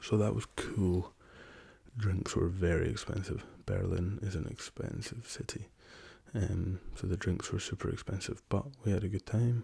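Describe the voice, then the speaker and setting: Soft-spoken, a man talks with a Scottish accent at a fairly low pitch. His tone is dark, mellow and somewhat breathy, with fairly even intonation. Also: moderate pace. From Scotland. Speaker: rapper. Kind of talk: ASMR soft-spoken travel story.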